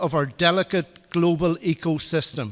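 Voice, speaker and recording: A man's high-pitched voice with an Irish accent. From Ireland. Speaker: political party official. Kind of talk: conference speech. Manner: formal.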